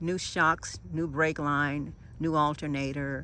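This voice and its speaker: This woman has a very deep, low pitch and a bright, sharp tone. She keeps a fairly slow pace and fairly even intonation. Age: 60s. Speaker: van lifer. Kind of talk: casual talk to camera.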